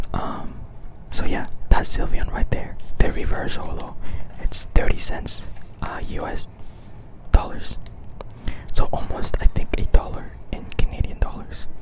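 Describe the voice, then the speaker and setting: Someone whispers at a fairly slow pace in a relaxed tone, with long, frequent pauses. Noticeable background noise sits behind the voice. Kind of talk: ASMR whispered talk while organizing trading cards. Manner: soft-spoken, relaxed.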